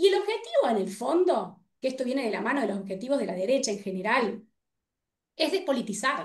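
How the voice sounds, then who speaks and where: A woman with a Rioplatense accent, fairly quick, her pitch swinging very widely. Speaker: political scientist and researcher. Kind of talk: panel debate. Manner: fast.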